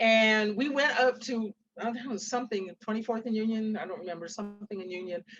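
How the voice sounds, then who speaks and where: This woman has an unremarkable speaking voice with an American accent, pitched fairly high. She talks at a fairly quick pace with ordinary pitch variation. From Seattle, US Pacific Northwest. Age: 60s. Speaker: author. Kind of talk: interview with storytelling.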